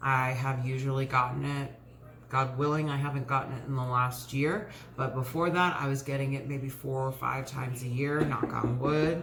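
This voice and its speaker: A woman with a very deep, low pitch talks at a moderate pace with fairly even intonation, amid audible room echo and noticeable background noise. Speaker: lifestyle vlogger. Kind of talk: casual chat. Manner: hesitant, many fillers.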